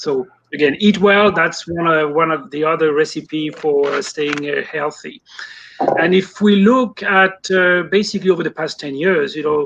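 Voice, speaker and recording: With noticeable background noise, a man with a high voice speaks in a French accent at a moderate pace with ordinary pitch variation. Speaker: poultry industry consultant. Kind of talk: live online interview. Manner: hesitant, many fillers.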